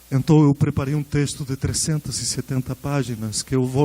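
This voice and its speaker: In a Spanish accent, a man speaks at a medium pitch with a dark, mellow tone and a moderate pace. His intonation is flat and monotone, and the sound is dry and close with no echo. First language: Spanish (speaking Portuguese). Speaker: researcher giving a conference talk. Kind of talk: lecture.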